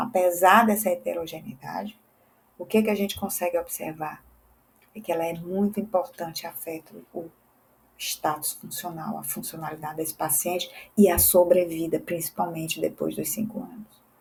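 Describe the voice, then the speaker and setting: Somewhat breathy and fairly low in pitch, a woman speaks at a moderate pace with ordinary pitch variation and big swings in loudness. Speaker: physiotherapist and teacher. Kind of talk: educational lecture.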